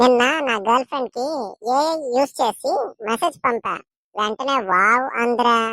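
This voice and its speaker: A woman's put-on character voice, high in pitch, at a fairly slow pace. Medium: voice reel. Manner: overdramatic.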